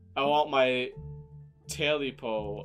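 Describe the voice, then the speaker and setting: A man puts on a croaky character voice at a medium pitch. Faint music plays in the background. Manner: croaking.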